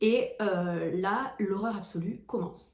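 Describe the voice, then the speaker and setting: A woman speaks at a medium pitch with lively intonation and a somewhat breathy sound, and the room echo is audible. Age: 20s. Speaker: vlogger. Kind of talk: personal vlog storytelling. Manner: hesitant, many fillers.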